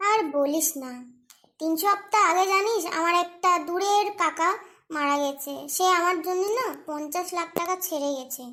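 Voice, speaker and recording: A cartoonish character voice at an extremely high pitch moves along at a moderate pace. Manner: whiny, aggrieved.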